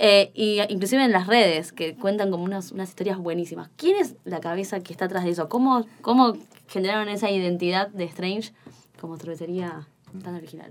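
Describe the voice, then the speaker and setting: Speaking fairly quickly in an unremarkable speaking voice, a woman holds a medium pitch with ordinary pitch variation and big swings in loudness. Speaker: podcast co-host. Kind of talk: casual chat.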